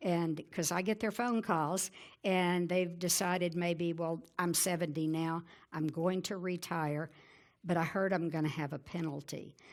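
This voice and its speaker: On a very clean recording with a silent background, a woman with a Southern US accent speaks fairly slowly at a fairly low pitch with fairly even intonation. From Arkansas. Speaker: Medicare insurance advisor and radio host. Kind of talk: presentation. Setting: conference talk with audience.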